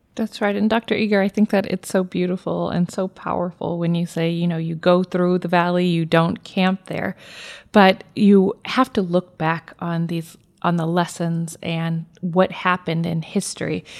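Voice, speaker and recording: Over a silent background on a very clean recording, a woman with a plain, everyday voice speaks at a moderate pace and fairly low pitch, her intonation fairly even and the sound dry and close with no echo. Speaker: podcast co-host. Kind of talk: interview.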